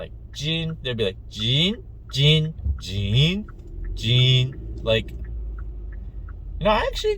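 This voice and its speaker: Someone with an American accent speaks at a very slow pace, with audible room echo. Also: man. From USA, Korean American. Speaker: vlogger. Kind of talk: casual vlog monologue.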